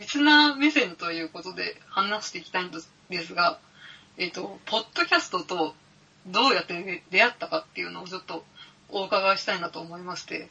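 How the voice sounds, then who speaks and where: Loudness swings widely as a woman speaks at a fairly quick pace. Her medium-pitched voice carries lively intonation. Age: 30s. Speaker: podcaster and office worker. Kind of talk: casual chat. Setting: home recording with IC recorder. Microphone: IC recorder with cheap mic.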